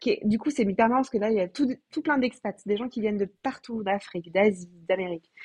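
Her voice is fairly high and somewhat breathy. The woman talks at a fairly quick pace with ordinary pitch variation. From France. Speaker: comedian. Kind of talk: casual interview.

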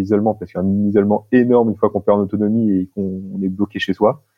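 A man with fairly low pitch races along at a very fast pace in a monotone, flat intonation. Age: 30s. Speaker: social entrepreneur. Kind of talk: casual interview. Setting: remote call.

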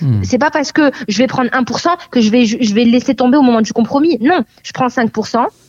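Her high-pitched voice has lively intonation, and the woman is recorded with a dry, close sound with no echo. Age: 20s. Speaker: real estate agent. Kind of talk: interview.

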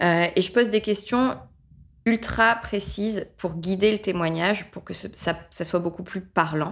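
An unremarkable speaking voice moves at a fairly slow pace with ordinary pitch variation. Its loudness swings widely. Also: woman, medium pitch for a woman. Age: 30s. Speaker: business trainer and author. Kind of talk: casual interview.

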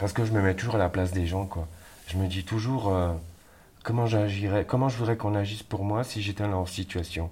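A man speaks fairly quickly in a fairly low voice, keeping his intonation fairly even. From France, Saint-Étienne. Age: 50s. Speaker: care worker. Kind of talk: testimony. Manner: halting.

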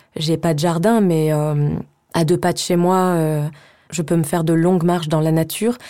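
On a very clean recording with a silent background, a woman speaks at a fairly slow pace and very even loudness. Her voice is fairly low in pitch, with a dark, mellow tone. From France, Savoie (Chambéry). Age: 30s. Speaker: voice-over actress. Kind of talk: casual interview. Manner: hesitant, many fillers and repeats.

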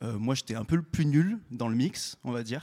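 A man's normal speaking voice at a medium pitch with ordinary pitch variation, dry and close with no echo, on a very clean recording with a silent background. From Saint-Étienne, France. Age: 20s. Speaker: record label project manager. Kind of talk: panel discussion. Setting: stage with audience.

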